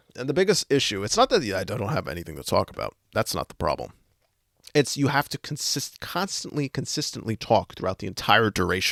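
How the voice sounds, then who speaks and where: Vocal fry and very wide pitch swings mark this fairly quick speech, recorded very cleanly with a silent background and a dry, close sound with no echo. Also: man, medium pitch for a man. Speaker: podcast host. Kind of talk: casual chat.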